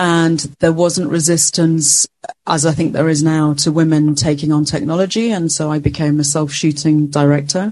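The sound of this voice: A woman with a low voice and a slightly mellow tone speaks at a moderate pace, her intonation fairly even and her pauses few.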